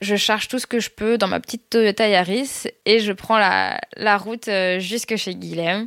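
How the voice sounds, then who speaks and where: Her pace very slow, a woman talks at medium pitch with fairly even intonation. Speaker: storyteller sharing her love story. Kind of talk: personal story narration. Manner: hesitant, many fillers.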